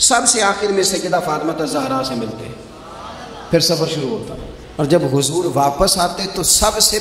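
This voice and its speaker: Over noticeable background noise, a man with a high pitch speaks in a passionate tone with lively intonation. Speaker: Islamic preacher and spiritual leader (pir). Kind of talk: Islamic sermon (bayan) to an audience. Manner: emotional, eloquent, passionate delivery.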